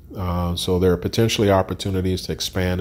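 Speaking with an American accent, a man uses a very deep, low pitch and fairly even intonation. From Chicago, far south side. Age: 60s. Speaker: entrepreneur. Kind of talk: interview. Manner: halting.

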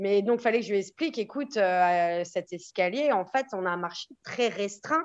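Her delivery moves at a moderate pace with lively intonation. The woman has a plain, everyday voice. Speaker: real estate agent. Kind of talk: podcast interview.

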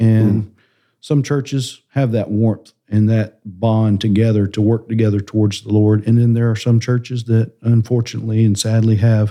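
At a fairly slow pace over a quiet background, a man with a Southern US accent speaks at a medium pitch in a dark, mellow tone with monotone, flat intonation. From South Carolina, small town. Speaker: connections pastor. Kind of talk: casual chat.

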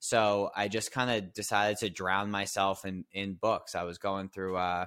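The voice runs in a flat monotone on a very clean recording with a silent background. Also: man. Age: 30s. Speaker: business consultant. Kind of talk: casual interview.

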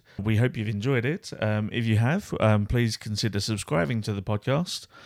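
A man with a Kent accent, fairly low pitch and ordinary pitch variation at a fairly quick pace, on a very clean recording with a silent background and a dry, close sound with no echo. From Kent, England. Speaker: podcast co-host. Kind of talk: casual chat.

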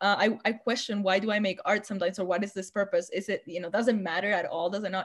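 This woman's voice carries some breathiness. She races through her words very rapidly. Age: 30s. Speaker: visual artist. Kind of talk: casual chat.

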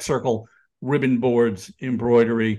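A man with an American accent and an ordinary speaking voice, medium pitch, fairly even intonation and moderate pace, over a quiet background. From New York area. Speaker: sports graphic designer and author. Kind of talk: casual interview.

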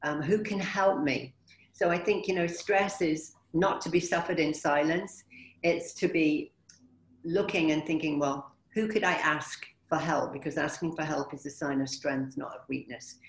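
A woman's very deep, low-pitched voice at a moderate pace with ordinary pitch variation. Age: 50s. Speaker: motivational speaker and wellbeing consultant. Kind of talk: webinar presentation. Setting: video call.

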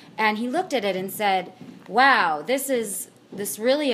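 The speaker has a Pacific Northwest accent and ordinary pitch variation. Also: woman. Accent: Pacific Northwest American. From Washington State, Puyallup (Pierce County). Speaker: theatre performer and producer. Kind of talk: interview.

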